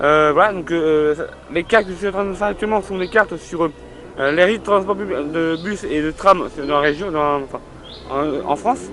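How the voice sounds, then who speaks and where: The speech moves at a moderate pace. Noticeable background noise runs throughout. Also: man, high pitch for a man, ordinary pitch variation. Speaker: video blogger. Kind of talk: casual monologue. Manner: hesitant, many fillers.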